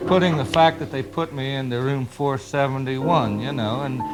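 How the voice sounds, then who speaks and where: Music plays behind a man who speaks at a moderate pace, his pitch varying in an ordinary way. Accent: American. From Indianapolis, Indiana, US. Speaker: writer. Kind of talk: guest lecture to a class. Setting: classroom recording.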